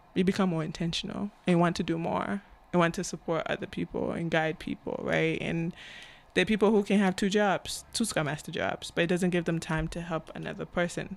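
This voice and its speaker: Speaking at a fairly quick pace, a woman uses a fairly low pitch, fairly even intonation and vocal fry. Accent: African. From Cameroon. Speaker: agile coach and author. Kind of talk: podcast interview.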